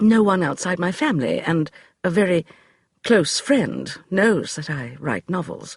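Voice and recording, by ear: In a natural voice, the text is read aloud with a quiet background behind it.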